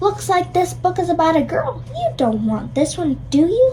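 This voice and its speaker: A cartoonish character voice speaks at a moderate pace. Clear background noise is audible. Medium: puppet show. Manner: gruff, stubborn.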